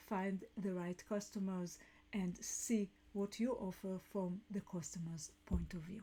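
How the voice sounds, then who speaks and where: This woman's voice is somewhat breathy. Her tone is dark and mellow, with a non-native accent. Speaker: business coach and podcast host. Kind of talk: live talk show monologue. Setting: live stream. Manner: halting.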